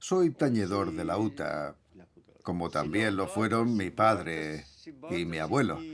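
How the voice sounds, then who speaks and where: Speaking at a very slow pace with long, frequent pauses, a man with a fairly low pitch makes very wide pitch swings. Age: 70s. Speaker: folk singer and lute player. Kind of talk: interview.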